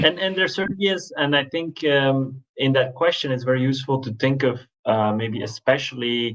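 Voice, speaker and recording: At a moderate pace, a man speaks with a Belgian accent and a medium pitch. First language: not English. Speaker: management researcher. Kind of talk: panel discussion. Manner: halting, many fillers.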